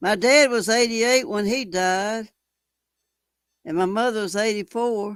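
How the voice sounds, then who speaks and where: Speaking fairly slowly with long, frequent pauses, a woman with a Texan accent has a fairly high pitch and ordinary pitch variation. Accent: Texan Southern US. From Texas. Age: 70s. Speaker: live streamer. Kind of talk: casual chat. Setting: live stream. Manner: halting.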